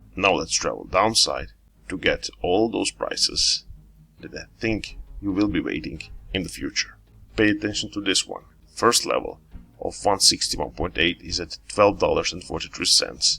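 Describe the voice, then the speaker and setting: Music plays in the background as a man speaks at a moderate pace with big swings in loudness. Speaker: crypto YouTuber. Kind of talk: tutorial.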